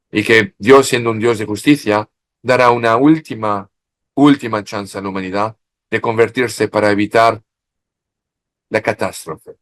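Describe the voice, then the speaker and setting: A man with a French accent speaks at a moderate pace and medium pitch. He leaves long, frequent pauses. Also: fairly even intonation. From France. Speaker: expert in Marian studies. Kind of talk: interview. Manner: halting.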